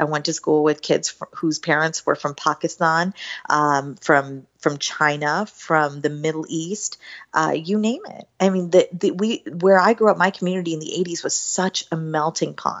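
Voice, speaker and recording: A woman speaks with an American accent. Her pitch is very deep and low, with ordinary variation. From southern West Virginia (Beckley). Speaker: political strategist. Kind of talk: interview conversation.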